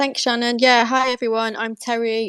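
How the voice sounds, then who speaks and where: A woman talks with a British accent. The sound is dry and close, with no echo. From UK. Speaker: crypto exchange manager. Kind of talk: live audio space AMA.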